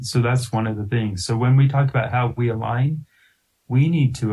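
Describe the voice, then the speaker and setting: Somewhat breathy, a man with a General American accent talks with ordinary pitch variation. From Colorado, Littleton. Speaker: university president, former state legislator. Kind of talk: interview.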